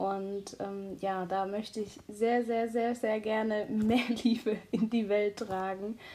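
A woman with a fairly high pitch and a dark, mellow tone speaks at a very slow pace. Her intonation is monotone and flat. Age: 20s. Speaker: high-sensitivity coach and student. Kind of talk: casual chat.

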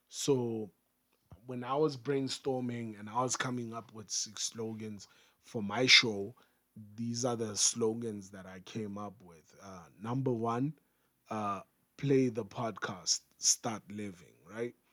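A man talks at a very slow pace with fairly even intonation. His loudness has big swings. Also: medium pitch for a man. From Africa. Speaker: podcast host. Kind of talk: solo podcast tutorial.

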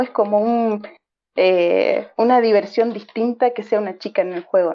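A woman speaks in a plain, everyday voice at a fairly slow pace. Her pitch is fairly high and her intonation fairly even. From Argentina. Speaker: online gamer, clan member. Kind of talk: interview.

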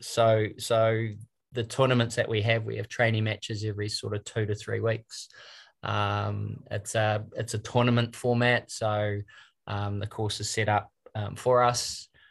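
A man speaks with a New Zealand accent in a fairly low voice, his intonation flat and monotone. The recording is very clean, with a silent background. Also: fairly slow pace. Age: 50s. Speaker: trainee golf professional. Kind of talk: interview.

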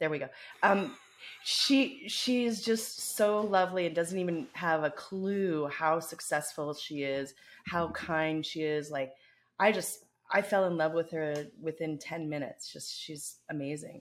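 A woman speaks at a fairly slow pace with a fairly low pitch. Her intonation is lively. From Canada. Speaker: podcast co-host. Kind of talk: casual chat. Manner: animated, playful.

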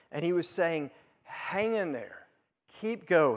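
Lively intonation runs through a man's high-pitched voice. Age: 50s. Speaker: pastor. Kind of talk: sermon.

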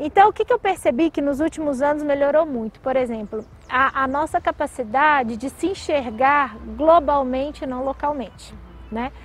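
A high-pitched woman with a Minas Gerais accent, at a moderate pace with ordinary pitch variation. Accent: Minas Gerais (mineiro). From Brazil, Minas Gerais (Belo Horizonte). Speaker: tech company CEO. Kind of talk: interview. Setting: outdoors by a lake. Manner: energetic.

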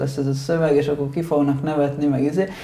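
Room echo is audible as a man speaks fairly quickly. His tone is dark and mellow, with fairly even intonation. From Italy, moved to Hungary at 8. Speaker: rock band musician. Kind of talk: casual interview chat.

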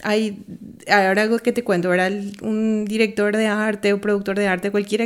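A woman speaks at a fairly high pitch and a moderate pace. Her intonation is flat and monotone. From Bolivia. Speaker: art production designer. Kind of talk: interview.

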